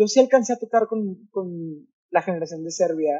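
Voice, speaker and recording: The voice moves at a fairly quick pace with ordinary pitch variation. The background is quiet. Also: man. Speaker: podcast guest. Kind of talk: interview answer. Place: home room. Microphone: video call.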